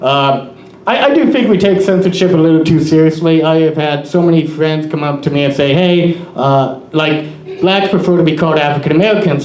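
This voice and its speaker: A man speaks at a moderate pace with a fairly high pitch and ordinary pitch variation. The room echo is audible and there is noticeable background noise. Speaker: comedian. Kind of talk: stand-up. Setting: stage with audience.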